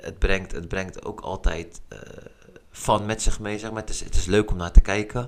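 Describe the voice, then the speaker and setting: The speaker is a man. He keeps a moderate pace with ordinary pitch variation. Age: 30s. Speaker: street football organiser. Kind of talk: casual interview.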